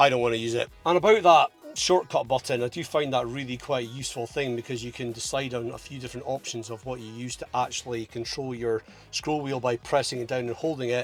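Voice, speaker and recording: In a strong Scottish accent, a man speaks at a very fast pace with a medium pitch. His intonation is fairly even, though his loudness swings a lot. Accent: thick Scottish. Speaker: car vlogger. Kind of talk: casual review monologue.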